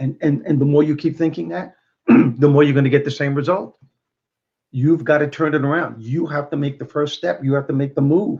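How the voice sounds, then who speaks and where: A man with a Brooklyn accent, fairly high pitch, somewhat breathy delivery, ordinary pitch variation and a fairly quick pace. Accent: Brooklyn New York. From Brooklyn, New York. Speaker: motivational speaker and comedian. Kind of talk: interview.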